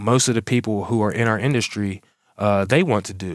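A medium-pitched male voice at a moderate pace with ordinary pitch variation, on a very clean recording with a silent background. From Pittsburgh, Pennsylvania. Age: 40s. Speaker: lawn care business owner and podcast host. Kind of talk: solo motivational podcast monologue. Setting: home office. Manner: animated.

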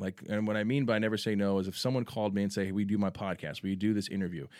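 A man with a Texan accent, fairly low pitch and ordinary pitch variation, at a very fast pace, in a very clean recording with a silent background. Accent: Texan American. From San Antonio, Texas. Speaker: sports superfan and local celebrity. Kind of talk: casual chat. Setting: studio.

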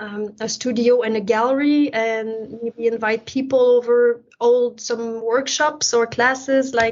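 A woman speaks in a Quebec accent, fairly slowly and with a fairly high pitch. Her intonation is flat and monotone. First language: French. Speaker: painter. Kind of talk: interview.

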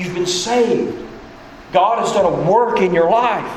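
Speech at a fairly slow pace with ordinary pitch variation comes through noticeable background noise. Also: man. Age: 40s. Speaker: pastor. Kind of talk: sermon. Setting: church.

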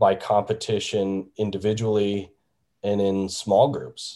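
A man's fairly low voice with a dark, mellow tone against a quiet background. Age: 40s. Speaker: sales consultant. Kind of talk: interview. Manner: halting, with frequent restarts.

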